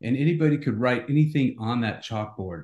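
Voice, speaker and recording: Against a quiet background, a man speaks with a plain, everyday voice at a medium pitch. His pace is moderate and his pitch varies in an ordinary way. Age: 50s. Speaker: CEO and author. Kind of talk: interview.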